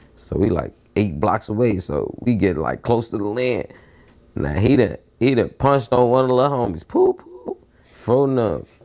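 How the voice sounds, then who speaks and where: A man speaks in a dark, mellow tone at a medium pitch, with some vocal fry. His intonation is lively and his pace moderate. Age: young. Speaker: interviewee, street figure. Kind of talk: casual interview.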